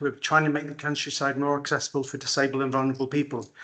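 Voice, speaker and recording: A man with a Welsh accent and a fairly high pitch. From Wales, Pembrokeshire. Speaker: care farm owner. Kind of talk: conference talk. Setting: conference hall with microphone.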